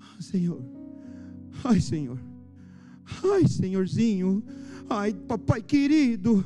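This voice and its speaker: A whiny, put-on character voice at a middle pitch speaks at a very slow pace with long, frequent pauses. Clear music sits in the background. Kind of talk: sugary, pleading, childish diminutives. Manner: whimpering, whining, complaining.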